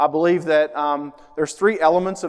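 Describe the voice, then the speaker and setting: A man with a strong Appalachian accent, fairly high in pitch, at a fairly quick pace with fairly even intonation. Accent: strong Appalachian country. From southern Ohio, near Huntington, West Virginia. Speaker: mental health speaker, social worker. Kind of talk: public talk to parents. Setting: school auditorium with audience. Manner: casual, conversational with fillers.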